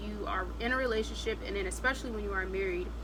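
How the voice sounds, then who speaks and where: A woman is speaking. There is audible room echo and noticeable background noise. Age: 20s. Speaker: vlogger. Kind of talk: casual chat.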